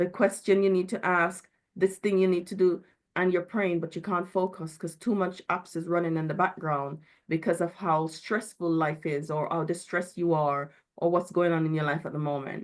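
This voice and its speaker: Against a quiet background, a woman with a normal speaking voice talks at a moderate pace, her pitch fairly low and intonation fairly even. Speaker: mental health speaker at church.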